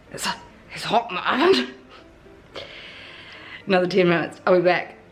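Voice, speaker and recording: Music plays in the background as a woman at a medium pitch speaks at a moderate pace with lively intonation. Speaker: cooking and hot sauce vlogger. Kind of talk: casual talk to camera.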